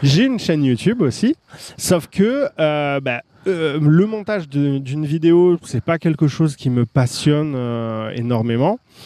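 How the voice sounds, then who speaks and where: A dark, mellow tone with lively intonation, delivered at a very slow pace. The sound is dry and close, with no echo. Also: man, fairly high pitch for a man. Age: 30s. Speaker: online course creator and entrepreneur. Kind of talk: casual interview.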